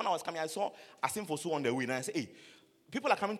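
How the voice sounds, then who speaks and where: With a Ghanaian accent, a man speaks in a high pitch with very wide pitch swings over noticeable background noise. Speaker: preacher. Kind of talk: sermon. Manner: animated.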